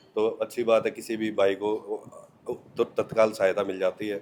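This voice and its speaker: Monotone, flat intonation from a man at a fairly low pitch and moderate pace, over noticeable background noise. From Haryana, India. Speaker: sports commentary script writer. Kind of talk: interview. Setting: blood donation camp.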